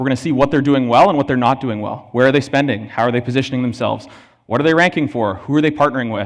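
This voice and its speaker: A man with a Canadian accent, fairly high pitch and very fast pace, on a very clean recording with a silent background. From Canada. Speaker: conference speaker, marketing analytics executive. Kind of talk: conference presentation. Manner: casual, energetic.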